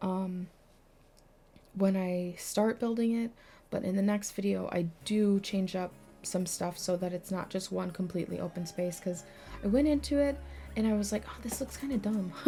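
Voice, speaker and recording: A soft-spoken woman talks at a medium pitch with ordinary pitch variation. She leaves long, frequent pauses, and music plays in the background. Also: moderate pace. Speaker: Sims gaming YouTuber. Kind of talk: gameplay voiceover commentary. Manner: casual, hesitant with many ums.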